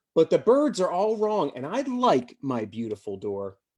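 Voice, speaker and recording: Putting on a character voice, a man speaks at a moderate pace, fairly high in pitch, with very wide pitch swings. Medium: read story.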